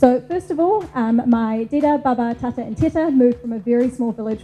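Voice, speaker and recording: Very fast speech in a New Zealand accent, with ordinary pitch variation and noticeable background noise. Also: woman. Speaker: marketing manager. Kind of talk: conference talk.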